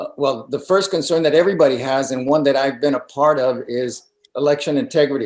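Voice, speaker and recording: Speaking fairly quickly with fairly even intonation, a man with an American accent has an unremarkable speaking voice pitched fairly high. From Mexico, raised in the US from age five. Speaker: political candidate, retired army colonel. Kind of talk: campaign interview.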